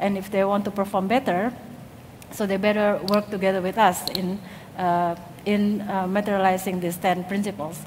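A woman with an Indonesian accent at a moderate pace, monotone and flat, over light background noise. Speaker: industrial design lecturer. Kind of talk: conference talk. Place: stage. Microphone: headset.

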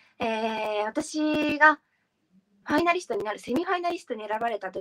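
A woman speaks at a moderate pace, her pitch swinging very widely, with quiet behind her. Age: 20s. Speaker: beauty pageant finalist. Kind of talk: interview. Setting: live stream. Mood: warm, praising a fellow finalist. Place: home room. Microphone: video call.

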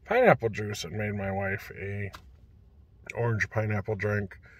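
Very slow and monotone, a man speaks at a fairly low pitch in a somewhat breathy voice, the sound dry with no echo. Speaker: food reviewer. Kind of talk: casual vlog chat. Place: car. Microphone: phone near.

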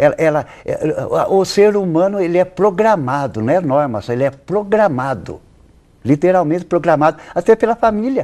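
A man's high voice in a dark, mellow tone, with lively intonation and a moderate pace, against a quiet background. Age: 80s+. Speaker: interview guest. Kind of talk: TV interview. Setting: TV studio. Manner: halting. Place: studio. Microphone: lapel.

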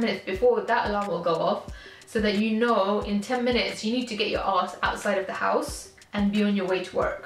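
A woman speaks at a fairly quick clip with hardly any pauses and fairly even intonation. The room echo is audible, and there's light background noise. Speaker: vlogger. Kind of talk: casual vlog chat. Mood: candid, somewhat low, frank.

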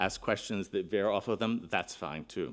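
The man keeps his speech at a moderate pace. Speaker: keynote speaker. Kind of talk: conference keynote address. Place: hall. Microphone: podium.

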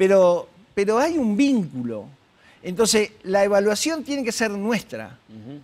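At a fairly slow pace, a man speaks at a high pitch with very wide pitch swings and big swings in loudness. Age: 70s. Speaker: psychologist; guest. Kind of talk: interview. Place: studio. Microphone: lapel.

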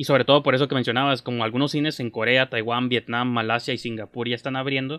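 Against a quiet background, a man talks at a very fast pace with a Mexican accent. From Mexico. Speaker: film podcast host. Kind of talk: casual chat. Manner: animated. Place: kitchen. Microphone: earbuds.

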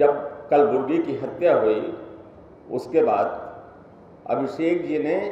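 With audible room echo around him, a man talks at a very slow pace, leaving long, frequent pauses. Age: 70s. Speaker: veteran journalist; speaker. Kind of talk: public speech. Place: hall. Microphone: podium.

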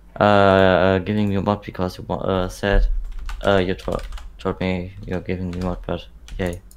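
A man's very deep, low voice in a flat monotone, over light background noise. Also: fairly slow pace. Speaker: game developer; game developer streamer. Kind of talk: casual livestream chat. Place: home room.

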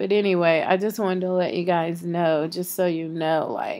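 A woman speaks at a very slow pace with fairly even intonation. Her pitch sits fairly low. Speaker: vlogger. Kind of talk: casual vlog chat. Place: home room. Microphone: phone near.

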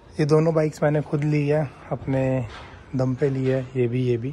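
A man speaks with monotone, flat intonation over light background noise. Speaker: vlogger. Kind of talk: casual vlog chat. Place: garage. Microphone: phone near.

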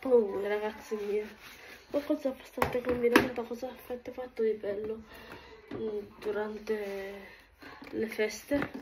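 The talking stops often for long pauses, with noticeable noise behind it. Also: woman, fairly high pitch for a woman. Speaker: vlogger. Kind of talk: casual chat vlog while doing housework. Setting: at home, filming herself. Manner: chatty, rambling.

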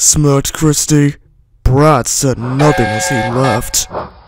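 This clip is reading aloud in a natural voice. The amount of pitch change is ordinary.

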